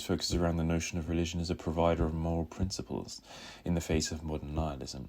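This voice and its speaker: A man's very deep, low voice with vocal fry at a very fast pace. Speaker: philosophy video essayist. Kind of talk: video essay narration. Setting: low-quality microphone.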